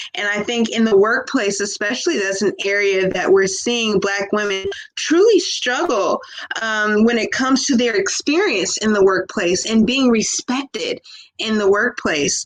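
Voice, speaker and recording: With an American accent, a woman speaks at a moderate pace in a fairly high, animated voice with lively intonation over noticeable background noise. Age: young. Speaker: professor. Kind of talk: panel discussion.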